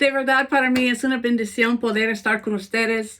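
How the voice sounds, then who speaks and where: A woman talks with an American accent and fairly high pitch. The recording is very clean, with a silent background. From United States. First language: English (speaking Spanish). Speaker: pastor. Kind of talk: sermon.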